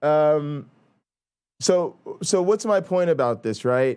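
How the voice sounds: A man with a New Jersey accent talks very slowly, his fairly high voice full of lively intonation. The recording is very clean, with a silent background.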